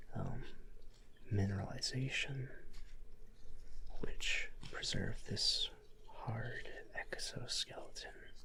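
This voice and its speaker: A soft-spoken man whispers in a relaxed tone. He goes at a very slow pace amid noticeable background noise. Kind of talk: educational ASMR show-and-tell about fossils. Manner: soft-spoken, whispered, relaxed.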